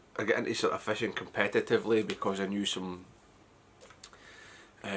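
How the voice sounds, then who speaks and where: With a Scottish accent, the speaker moves at a fairly quick pace, taking long, frequent pauses. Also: man. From west of Scotland. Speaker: fly fishing vlogger. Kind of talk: casual vlog talk. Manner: hesitant, many fillers.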